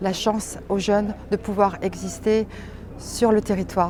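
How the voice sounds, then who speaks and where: Against noticeable background noise, a woman speaks at a fairly slow pace and medium pitch with monotone, flat intonation. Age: 50s. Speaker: local councillor. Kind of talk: campaign statement.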